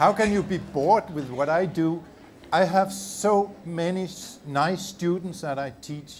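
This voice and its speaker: At a fairly slow pace, a man speaks with a high pitch and ordinary pitch variation. Noticeable background noise runs underneath. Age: 70s. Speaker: visiting chemistry professor. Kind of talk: audience Q&A. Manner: hesitant, with filler words.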